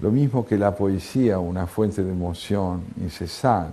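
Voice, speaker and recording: A man talks at a very slow pace. His pitch sits fairly low. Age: 70s. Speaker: philosopher and writer. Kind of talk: TV interview. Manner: reflective, with filler hesitations.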